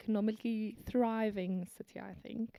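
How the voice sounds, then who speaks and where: A woman's fairly high voice with a South African accent, at a moderate pace, in a dry, close sound with no echo. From South Africa (Afrikaans-speaking, Kempton Park), then Hong Kong from age 9 to 19. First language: Afrikaans. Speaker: biokineticist and businesswoman. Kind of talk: casual interview.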